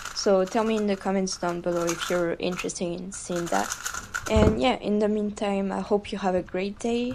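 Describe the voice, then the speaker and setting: Against noticeable background noise, a woman of medium pitch talks at a fairly slow pace with fairly even intonation. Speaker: speedcuber. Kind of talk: casual voiceover to viewers.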